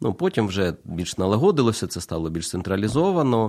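There's a dark, mellow tone to this man's voice. Behind him the background is silent, and the recording is very clean. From Ukraine, Kyiv. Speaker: pastor. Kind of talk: radio interview. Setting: studio.

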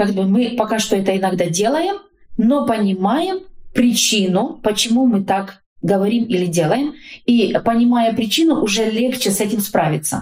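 A woman speaks at a fairly high pitch with lively intonation and a somewhat breathy sound. Her loudness stays very even at a moderate pace. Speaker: social worker and family counselor. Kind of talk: interview about faith and family.

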